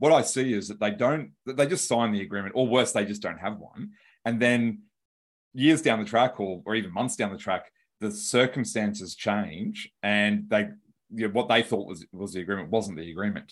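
With an Australian accent, a man talks at a moderate pace in a fairly low pitch with ordinary pitch variation. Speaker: lawyer and business founder. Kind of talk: podcast interview.

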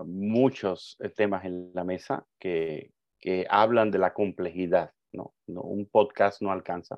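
A fairly low-pitched man speaking at a very slow pace. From Cuba. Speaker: migration advocate. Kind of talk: interview.

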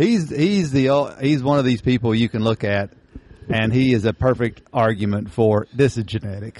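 A man's medium-pitched voice with an Appalachian accent and ordinary pitch variation. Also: moderate pace. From Eastern Kentucky. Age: 50s. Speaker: podcast host. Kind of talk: casual chat.

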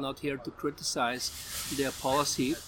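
Over noticeable background noise, a man speaks in a fairly high, flat monotone. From Belgium. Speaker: charity founder and bar owner. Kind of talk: interview. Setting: outdoors on a bar patio.

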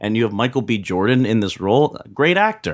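On a very clean recording with a silent background, a man with an American accent speaks in a plain, everyday voice at a moderate pace, with a fairly low pitch and lively intonation. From Pennsylvania, Philadelphia area. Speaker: film critic podcast host. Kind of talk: casual chat, movie review.

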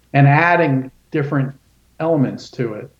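With an American accent, a man speaks in a plain, everyday voice at medium pitch with fairly even intonation. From Florida, US. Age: 60s. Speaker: journalist and author. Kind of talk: interview.

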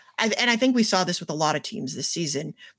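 On a very clean recording with a silent background, a woman in a normal speaking voice talks at a medium pitch with lively intonation. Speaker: reality TV panelist. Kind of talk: casual podcast chat.

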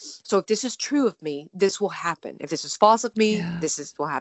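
Pitch shifts in an ordinary way as the words unfold at a moderate pace. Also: woman. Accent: Texan. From Texas. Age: 30s. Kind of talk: personal testimony.

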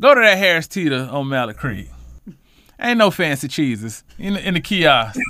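With an American accent and vocal fry, a man talks at a moderate pace in a bright, sharp tone, his fairly high pitch swinging very widely over a very clean recording with a silent background. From Charlotte, North Carolina, West Side. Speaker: housing fair organizer and community advocate. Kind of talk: casual interview.

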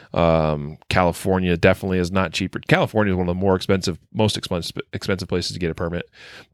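The speech runs at a very fast pace with hardly any pauses and fairly even intonation. The recording is very clean, with a silent background. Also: man, very deep, low pitch for a man. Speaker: podcast host. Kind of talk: casual podcast discussion of news.

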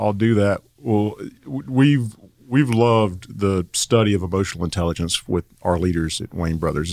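Someone speaks at a moderate pace in a Southern US accent, the sound dry and close with no echo. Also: man, very clean recording, silent background. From North Carolina (Asheville). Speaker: construction company executive. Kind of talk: casual interview.

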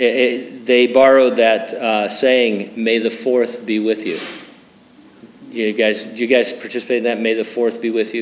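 At a moderate pace, a man speaks with a medium pitch in a room with audible echo. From Southern California, San Bernardino. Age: 60s. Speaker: pastor. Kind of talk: sermon.

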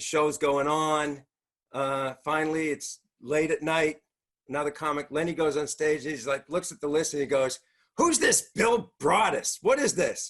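With a Boston accent, a man speaks at a moderate pace. His pitch is fairly high, with ordinary pitch variation. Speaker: comedian. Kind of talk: stand-up.

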